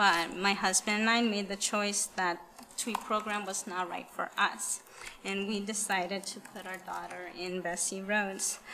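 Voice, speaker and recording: A woman with a Spanish accent speaks at a fairly slow pace in a medium pitch with monotone, flat intonation, over noticeable background noise. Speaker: parent giving public comment. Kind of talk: public comment at school board meeting. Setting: school board meeting.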